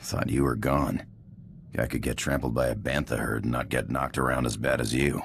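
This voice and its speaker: A man growls in a put-on character voice, very deep and low, over clear background noise. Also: fairly quick pace. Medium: video game. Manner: gruff, blunt.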